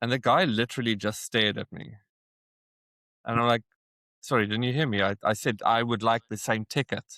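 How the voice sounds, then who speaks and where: A man with a South African accent, medium pitch, fairly even intonation, a fairly quick pace and long, frequent pauses. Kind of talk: interview answer. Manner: casual storytelling.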